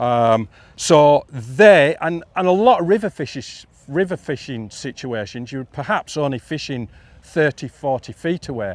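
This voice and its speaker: A man with a northern English accent, fairly high pitch and lively intonation at a moderate pace, in a dry, close sound with no echo. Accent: northern English (Yorkshire-ish). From northern England, Yorkshire border. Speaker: fly fishing instructor. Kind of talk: live talk to audience.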